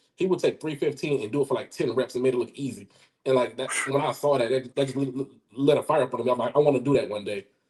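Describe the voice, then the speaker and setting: A man with an Alabama accent, medium pitch, a very fast pace, a somewhat breathy voice and fairly even intonation. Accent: Southern US (Alabama). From US South, southeast Alabama. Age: 40s. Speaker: powerlifter and firearms instructor. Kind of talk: interview. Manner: halting, many fillers and repetitions.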